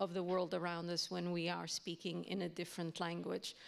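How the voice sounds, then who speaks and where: Speaking with a Portuguese accent, a woman has a fairly low pitch. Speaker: university language educator. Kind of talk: panel discussion.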